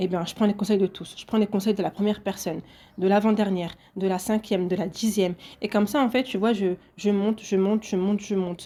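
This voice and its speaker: A woman talks at a very fast pace in a flat, monotone delivery. Her tone is dark and mellow, and the recording is very clean with a silent background. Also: medium pitch for a woman. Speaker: podcaster. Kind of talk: solo podcast monologue.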